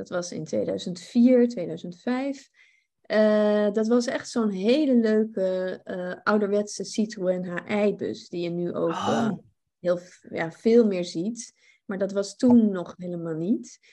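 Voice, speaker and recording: Very slow speech from a woman, medium in pitch, its pitch variation ordinary. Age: 40s. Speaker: cook and cooking coach. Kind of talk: casual interview chat.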